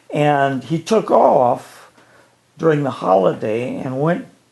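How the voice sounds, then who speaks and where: With an Ohio accent, a man talks at a very slow pace, his fairly high pitch carrying lively intonation. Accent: Midwestern US (Ohio). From northeastern Ohio, Ashtabula County. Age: 80s+. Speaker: retired educator. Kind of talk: storytelling interview.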